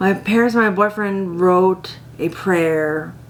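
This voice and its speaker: Against noticeable background noise, a woman talks at a very slow pace. Her pitch sits fairly low, with ordinary variation. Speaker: head injury survivor. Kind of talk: testimony.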